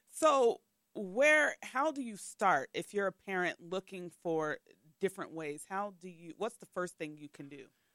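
Her tone bright and sharp, a woman with a medium pitch talks at a fairly slow pace, with very wide pitch swings and big swings in loudness, in a dry, close sound with no echo. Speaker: podcast host. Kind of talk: casual podcast interview.

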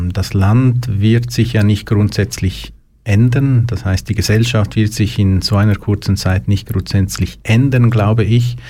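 The voice has a dark, mellow tone and is somewhat breathy, moving at a fairly slow pace with ordinary pitch variation and very even loudness in a very clean recording with a silent background. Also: man, fairly low pitch for a man. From Switzerland, Lucerne. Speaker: youth emotional support worker. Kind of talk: interview. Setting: studio.

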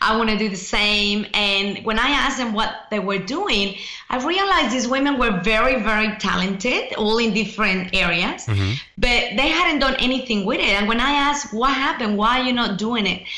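Noticeable background noise sits behind a woman's fairly high voice. She keeps a moderate pace with very even loudness. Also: ordinary pitch variation. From Mexico. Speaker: author and speaker. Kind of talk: casual interview.

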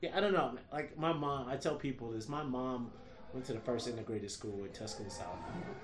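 With an American accent, a man of medium pitch speaks at a fairly quick pace with lively intonation, amid audible room echo and noticeable background noise. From US Midwest, Detroit. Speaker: stand-up comedian. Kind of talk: casual chat.

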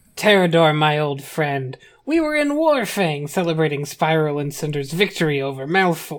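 A put-on character voice at a middle pitch and a moderate pace. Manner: formal, courteous, celebratory.

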